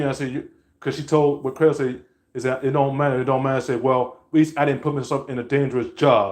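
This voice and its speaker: Speaking at a very fast pace, the voice keeps a fairly even intonation. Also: man. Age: 20s. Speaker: vlogger. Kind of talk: vlog rant. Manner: stuttering; halting.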